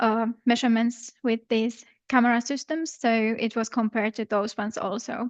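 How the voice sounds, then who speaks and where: A woman with an unremarkable speaking voice and fairly high pitch speaks at a moderate pace. The sound is dry and close with no echo, over a quiet background. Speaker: river researcher. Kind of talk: scientific talk.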